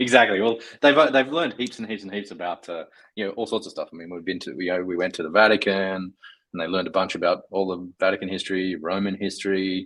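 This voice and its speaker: In an Australian accent, a man with a very deep, low pitch talks at a very fast pace with big swings in loudness. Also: ordinary pitch variation. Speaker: software engineer. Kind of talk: casual chat. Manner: halting, many fillers.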